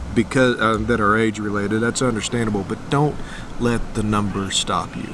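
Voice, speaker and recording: Noticeable background noise sits behind a man at a fairly low pitch. He speaks at a moderate pace in a monotone, flat intonation. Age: 40s. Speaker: RV travel vlogger. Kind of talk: casual vlog chat.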